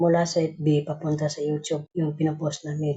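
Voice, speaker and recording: Somewhat breathy, a woman delivers her words at a moderate pace with monotone, flat intonation. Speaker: group admin announcing raffle winners. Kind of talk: casual live stream announcement. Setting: live stream call.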